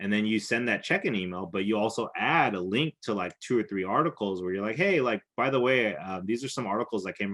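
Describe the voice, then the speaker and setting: The background stays quiet. A man's words come at a very fast pace. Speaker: videography business coach. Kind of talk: online class lesson. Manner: loud.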